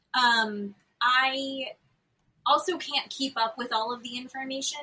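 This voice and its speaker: A woman uses a raised, projected voice at a high pitch. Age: 40s. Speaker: podcast co-host. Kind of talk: casual chat. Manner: animated.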